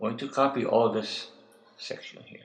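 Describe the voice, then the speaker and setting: Audible room echo hangs on a man's voice. He speaks at a medium pitch. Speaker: web designer. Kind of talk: tutorial. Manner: hesitant, with fillers.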